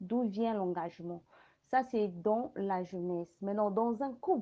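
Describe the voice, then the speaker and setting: Speaking at a very slow pace, a woman with a fairly high pitch uses ordinary pitch variation. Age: 30s. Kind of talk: panel discussion.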